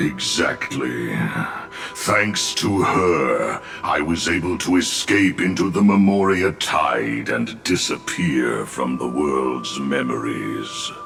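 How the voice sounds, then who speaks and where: A man does a put-on character voice with a very deep, low pitch. He speaks at a very slow pace over clear music in the background. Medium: machinima. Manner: solemn, grandiose.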